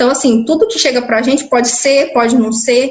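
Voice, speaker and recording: This is a woman's voice. Her pitch is fairly high. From interior of São Paulo state, Brazil. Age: 20s. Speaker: biomedical lab worker. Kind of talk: interview testimony. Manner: hesitant, with repetitions.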